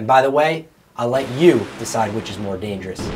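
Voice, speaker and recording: The man's pitch swings very widely as he speaks. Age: 20s. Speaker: drag racer and house flipper. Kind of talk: scripted narration.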